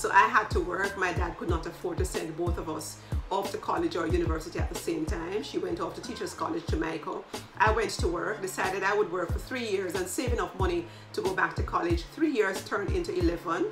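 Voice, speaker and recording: Over clear music in the background, a woman speaks at a very fast pace. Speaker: leadership coach. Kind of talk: casual vlog chat. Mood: warm, reflective. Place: home room.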